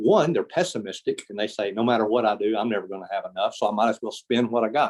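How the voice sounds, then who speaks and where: A man at medium pitch races along at a very fast pace with ordinary pitch variation. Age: 60s. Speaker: retirement plan speaker. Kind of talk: presentation to professional meeting.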